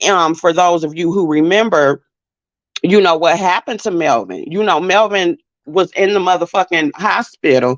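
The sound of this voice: The woman's voice has a fairly low pitch and ordinary pitch variation at a moderate pace. The sound is dry and close, with no echo.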